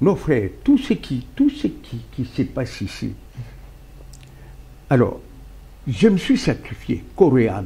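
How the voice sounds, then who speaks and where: A man speaks at a very slow pace. Long, frequent pauses break up his words. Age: 70s. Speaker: party founder, politician. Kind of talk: political talk show interview.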